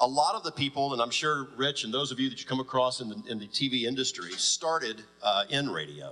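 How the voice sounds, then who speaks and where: Music plays in the background as a man speaks with an American accent. His pitch is medium and his intonation lively. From US South. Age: 40s. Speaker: radio executive. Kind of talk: panel talk. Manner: fast.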